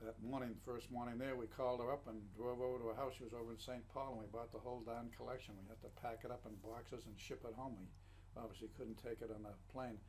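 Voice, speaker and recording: Very fast, monotone and flat speech with hardly any pauses and audible room echo. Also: man, medium pitch for a man. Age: 80s+. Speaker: matchcover collector. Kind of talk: casual chat. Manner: halting.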